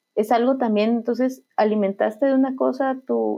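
The woman's pitch is fairly high. She talks at a fairly slow tempo. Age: 30s. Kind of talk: faith testimony conversation. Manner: halting, many repetitions and fillers.

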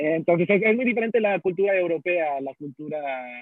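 This is a man talking at a high pitch. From Houston, Texas, of Mexican family. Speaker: podcast guest. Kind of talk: casual chat. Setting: in a coffee shop.

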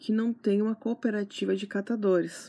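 Somewhat breathy and fairly high-pitched, a woman speaks with a dark, mellow tone. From Santana do Livramento, Rio Grande do Sul, Brazil. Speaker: gardening podcaster and blogger. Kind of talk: casual solo podcast talk.

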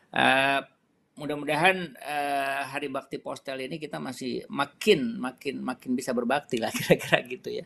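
A man's bright, sharp voice with vocal fry and ordinary pitch variation. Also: fairly high pitch for a man, moderate pace. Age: 50s. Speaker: retired telecom company director. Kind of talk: interview. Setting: live stream interview. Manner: halting, many fillers.

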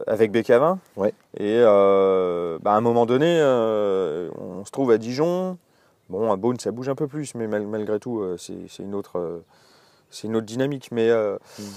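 Speaking at a fairly slow pace with long, frequent pauses, a man with a fairly low pitch and a dark, mellow tone uses lively intonation. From Alsace, France. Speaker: winemaker and musician. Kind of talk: casual interview. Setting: outdoors in a garden, birds audible. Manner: hesitant, many fillers.

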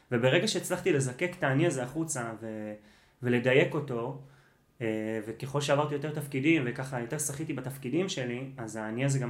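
Audible room echo around a man at a fairly quick pace. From Israel. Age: 30s. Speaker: running coach. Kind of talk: casual chat.

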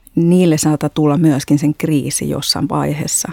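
The voice moves at a moderate pace with a dark, mellow tone and a dry, close sound with no echo. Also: woman. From Spain (Madrid). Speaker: artist and art educator. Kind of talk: interview. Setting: studio. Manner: halting, many fillers.

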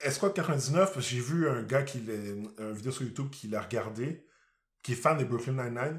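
Speaking at a fairly slow pace, a man with a medium pitch and ordinary pitch variation sounds somewhat breathy on a very clean recording with a silent background. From Quebec. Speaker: podcast co-host. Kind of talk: casual chat.

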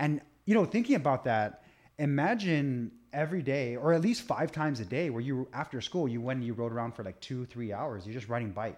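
A man's normal speaking voice at a medium pitch, fairly quick, with lively intonation, over a quiet background. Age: 30s. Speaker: nutrition and fitness coach. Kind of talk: casual chat.

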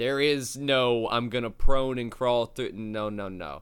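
A man speaks in a normal speaking voice at a medium pitch. His pace is fairly slow, with ordinary pitch variation. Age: 20s. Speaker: game community manager and security worker. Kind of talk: casual chat.

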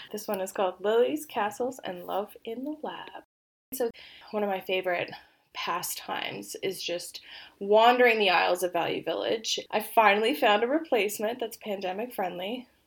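Moderately paced speech from a woman, fairly high in pitch and with ordinary pitch variation. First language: Polish. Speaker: podcast co-host. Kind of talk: casual chat. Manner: loud laughter.

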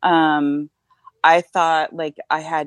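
The voice carries an American accent, and the sound is dry and close with no echo. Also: woman. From Northern California. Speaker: independent researcher. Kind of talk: casual chat.

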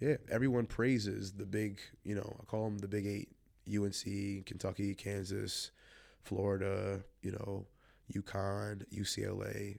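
A man with an American accent speaks at a fairly low pitch in monotone, flat intonation. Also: very clean recording, silent background. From Long Island, New York (childhood partly in Chicago area). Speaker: former college basketball coach, tournament founder. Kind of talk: casual interview. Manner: fast.

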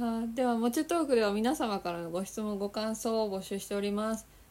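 At a fairly quick pace, a woman with an ordinary speaking voice talks at a medium pitch with ordinary pitch variation. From Osaka, Japan. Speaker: podcast host. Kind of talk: casual interview chat.

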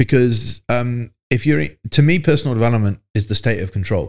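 With lively intonation and a medium pitch, a man talks in an ordinary speaking voice. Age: 40s. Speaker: fitness business coach. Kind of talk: casual interview.

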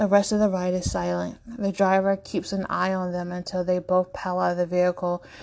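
The clip features an unforced reading voice.

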